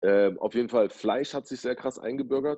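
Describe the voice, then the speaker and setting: A man's fairly quick delivery, dark and mellow in tone, with lively intonation. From Berlin, Germany. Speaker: DJ and rapper. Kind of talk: casual chat. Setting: at home, video call.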